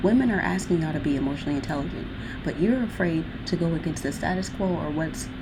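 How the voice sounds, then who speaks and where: At a fairly quick pace, a woman speaks with a fairly low pitch, with audible room echo and noticeable background noise. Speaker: video blogger. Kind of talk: casual chat. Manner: fast; animated.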